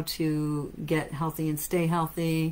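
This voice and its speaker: A woman talks with an American accent. Her pitch is fairly low. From United States. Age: 50s. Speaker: natural health clinic owner and practitioner. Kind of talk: lecture. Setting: live stream. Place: office.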